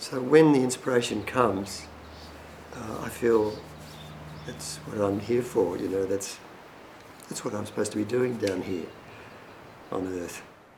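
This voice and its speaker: A man with a fairly low pitch speaks at a fairly slow pace, with long, frequent pauses and big swings in loudness. Audible room echo and noticeable background noise fill the recording. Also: ordinary pitch variation. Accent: Australian. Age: 70s. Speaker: painter. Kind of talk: documentary interview. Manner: halting.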